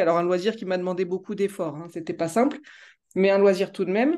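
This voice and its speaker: With ordinary pitch variation, a woman talks at a medium pitch. Behind her the background stays quiet. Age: 30s. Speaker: law student. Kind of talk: interview. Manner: halting.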